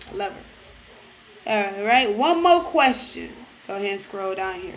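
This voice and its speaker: A woman with a New York accent talks at a moderate pace and medium pitch, with very wide pitch swings and big swings in loudness, amid audible room echo and noticeable background noise. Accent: New York-like. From Detroit, Michigan. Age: 20s. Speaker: vlogger. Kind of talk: casual Q&A vlog.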